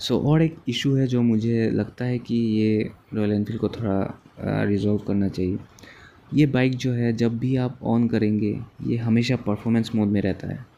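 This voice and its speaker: A man's voice carries a dark, mellow tone. His intonation stays fairly even. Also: medium pitch for a man. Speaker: motorcycle vlogger. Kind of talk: bike review vlog while riding. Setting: outdoors riding a motorcycle.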